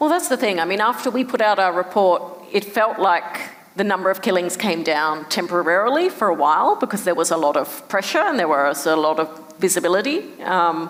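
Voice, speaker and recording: With an Australian accent, a woman talks at a fairly quick pace and medium pitch, her loudness very even over noticeable background noise. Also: lively intonation. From Perth, Australia. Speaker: human rights director. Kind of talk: conversation interview answer.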